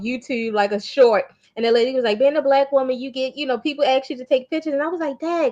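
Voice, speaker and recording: A woman speaks with an American accent and a high pitch. Her pitch varies in an ordinary way. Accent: Baltimore accent, stronger in certain words. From US, Baltimore. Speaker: motivational speaker and art wellness coach. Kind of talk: interview conversation.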